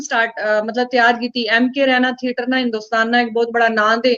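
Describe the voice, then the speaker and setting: A woman at a moderate pace. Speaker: actress and author. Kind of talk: interview.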